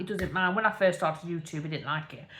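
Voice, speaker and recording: This woman speaks in an East Midlands accent. Her pitch is fairly low. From English Midlands, Derbyshire area. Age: 30s. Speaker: vlogger. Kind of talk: casual chat. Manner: rambling, filler-heavy.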